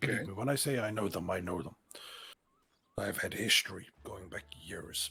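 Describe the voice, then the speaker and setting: A man does a raspy, put-on character voice at a fairly low pitch, moving at a moderate pace with long, frequent pauses. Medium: game stream. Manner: slow, deliberate, formal.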